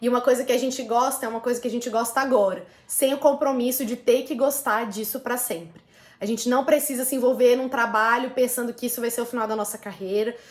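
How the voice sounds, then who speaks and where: Speaking at a very fast pace, a woman holds a high pitch with fairly even intonation. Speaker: lawyer and volunteer law lecturer. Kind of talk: career advice talk.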